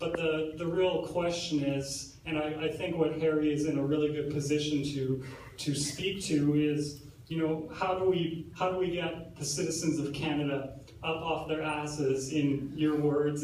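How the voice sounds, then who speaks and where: A man's fairly high voice at a moderate pace, monotone with flat intonation, amid audible room echo and noticeable background noise. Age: 20s. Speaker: event moderator interviewing the speaker. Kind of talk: on-stage interview. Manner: halting, many repetitions.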